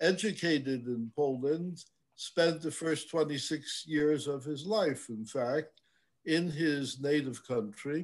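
A man talks at a very slow pace with ordinary pitch variation against a quiet background. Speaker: host introducing a lecture speaker. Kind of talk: formal introduction. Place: home room. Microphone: webcam.

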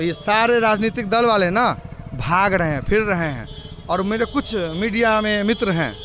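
Faint music plays in the background of this fairly slow speech, which has a dry sound with no echo. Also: man. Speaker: election candidate. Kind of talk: interview answer. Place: street. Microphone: handheld.

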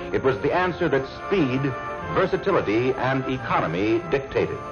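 The talking proceeds at a moderate speed. Behind it, music plays clearly. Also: man. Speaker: film narrator. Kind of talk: promotional documentary narration.

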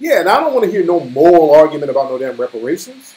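A man speaking at a very fast pace with lively intonation. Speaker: livestream commentator. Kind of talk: casual livestream commentary. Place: home room. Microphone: phone near.

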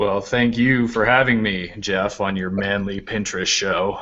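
In a put-on character voice, a man speaks at a moderate pace with a raspy, fairly low pitch. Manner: deep manly, flexed.

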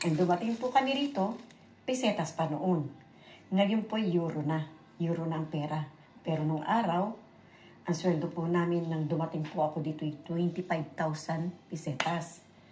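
Fairly low-pitched and somewhat breathy, a woman's dark, mellow voice moves at a fairly slow pace with ordinary pitch variation. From Philippines. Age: 60s. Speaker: vlogger. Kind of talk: casual vlog show-and-tell. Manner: repetitive filler-heavy.

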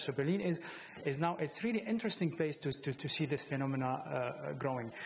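A man with an Arabic accent talks at a fairly quick pace. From Syria. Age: 40s. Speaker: playwright; panelist. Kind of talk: panel discussion. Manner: halting. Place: studio. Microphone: lapel.

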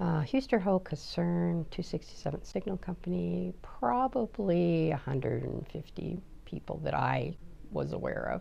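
Light background noise sits behind a woman speaking with an American accent. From Oregon, US. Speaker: army veteran. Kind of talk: oral history interview. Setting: office. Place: office. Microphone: lapel.

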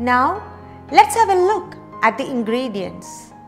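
A woman with a high-pitched voice talks at a fairly slow pace while faint music plays in the background. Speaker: cooking instructor. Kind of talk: tutorial. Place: kitchen.

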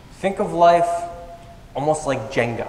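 Light background noise and audible room echo around a man's voice. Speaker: motivational speaker. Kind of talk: stage presentation. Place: stage.

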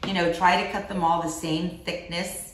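With audible room echo and light background noise, a woman speaks at a moderate pace in a fairly low pitch. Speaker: cooking show host. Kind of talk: cooking tutorial chat. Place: kitchen. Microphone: camera far.

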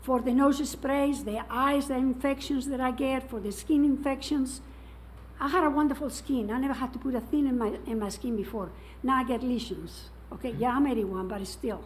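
The intonation stays fairly even throughout. Audible room echo surrounds the voice. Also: woman, high pitch for a woman, moderate pace. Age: 80s+. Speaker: resident speaking at public comment. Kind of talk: public comment. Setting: council meeting.

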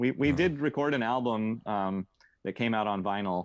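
A man with an American accent and a normal speaking voice, fairly low in pitch with ordinary pitch variation, at a moderate pace, in a dry sound with no echo and a quiet background. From rural Oregon, Mid Valley; Oregon. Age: 40s. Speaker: metal drummer and tour booker; podcast guest. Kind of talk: casual interview chat. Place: home room. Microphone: earbuds.

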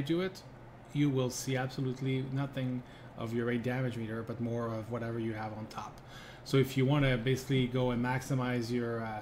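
Over light background noise, a man speaks at a very fast pace. He sounds somewhat breathy, with fairly even intonation. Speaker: gamer streamer. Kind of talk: tutorial. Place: home room. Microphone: phone near.

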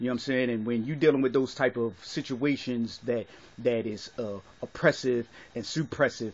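A man keeps his intonation fairly even while talking at a moderate pace. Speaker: vlogger giving his opinion. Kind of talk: casual vlog chat. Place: home room. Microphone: phone near.

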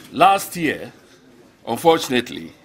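With ordinary pitch variation, a man delivers his words at a fairly slow pace. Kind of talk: formal speech. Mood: warm, proud. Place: hall. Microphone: podium.

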